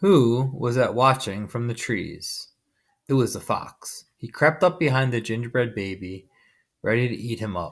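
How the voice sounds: Quiet background behind a natural reading voice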